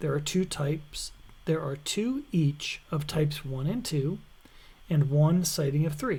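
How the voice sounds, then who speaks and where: A man speaks at a fairly high pitch. His tone is dark and mellow, and somewhat breathy. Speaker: university instructor. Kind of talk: lecture. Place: home room.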